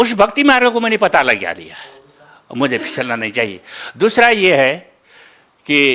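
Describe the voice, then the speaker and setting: This man's voice has a bright, sharp tone and swings very widely in pitch. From Nepal. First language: Nepali (speaking Hindi). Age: 70s. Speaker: religious follower giving testimony. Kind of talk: testimony. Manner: halting.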